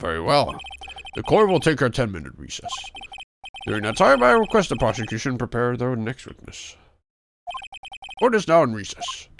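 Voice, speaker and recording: A man puts on a character voice at a medium pitch. He leaves long, frequent pauses. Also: moderate pace. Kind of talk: formal. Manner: formal, authoritative.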